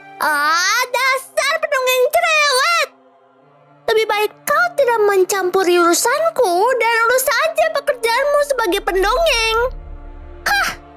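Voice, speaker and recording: A put-on character voice at an extremely high pitch and a fairly slow pace, over faint music in the background. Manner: scornful, dismissive.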